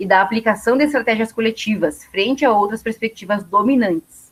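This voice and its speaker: This woman speaks at a fairly quick pace. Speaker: university lecturer. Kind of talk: lecture. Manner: fast.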